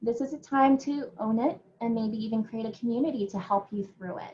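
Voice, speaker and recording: Her intonation is lively throughout. The woman's voice carries a somewhat breathy quality. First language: not English. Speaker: educator and conference speaker. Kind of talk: conference talk. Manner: hesitant, many fillers.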